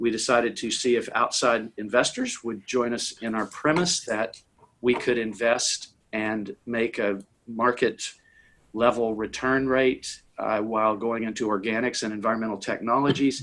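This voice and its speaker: This is an unremarkable speaking voice, a man with an American accent at medium pitch. He keeps a moderate pace and fairly even intonation. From US South, Tennessee. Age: 60s. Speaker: impact investor and author. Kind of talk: conversational interview. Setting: conference call.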